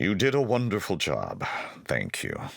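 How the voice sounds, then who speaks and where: A man does a put-on character voice at medium pitch and a moderate pace. The recording is very clean, with a silent background. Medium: read story. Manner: regal, commanding.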